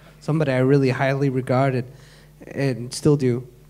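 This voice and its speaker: Audible room echo surrounds a man speaking at medium pitch and a moderate pace. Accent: American. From Michigan, US. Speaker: music producer and DJ. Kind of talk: panel talk on stage. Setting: stage with audience.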